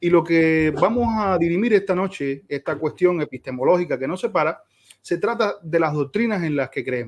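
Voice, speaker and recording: This man has a high-pitched voice. His intonation is lively. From Cuba. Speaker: theology teacher, debater. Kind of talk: debate opening introduction. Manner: fast.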